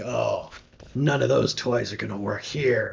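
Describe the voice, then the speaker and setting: Using a put-on character voice, a man speaks raspy at a fairly slow pace. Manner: creepy.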